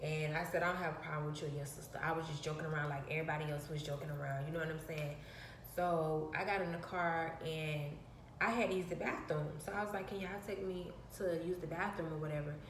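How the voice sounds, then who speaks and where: A woman with a very deep, low voice speaks at a very fast pace. Noticeable background noise and audible room echo fill the recording. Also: fairly even intonation. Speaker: vlogger. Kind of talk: personal storytelling. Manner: soft-spoken.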